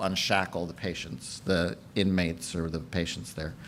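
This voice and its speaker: The speaker is a man with an American accent. Audible room echo surrounds his voice. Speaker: conference speaker. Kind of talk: lecture. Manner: fast.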